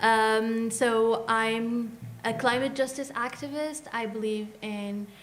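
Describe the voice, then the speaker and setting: Fairly high female voice with audible room echo. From Morocco. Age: 20s. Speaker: climate justice activist. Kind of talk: panel discussion.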